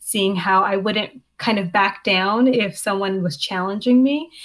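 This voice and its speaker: Speaking with a Canadian accent, a woman has an unremarkable speaking voice at a medium pitch with ordinary pitch variation. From Canada, Hamilton, Ontario. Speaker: law student. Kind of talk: interview.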